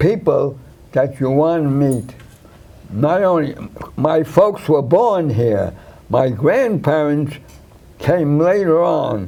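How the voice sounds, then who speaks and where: In a New York accent, a man with a fairly high voice speaks very slowly, with long, frequent pauses and lively intonation. Audible room echo is present. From New York, Brooklyn (Williamsburg). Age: 80s+. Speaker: war veteran. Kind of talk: interview. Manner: halting.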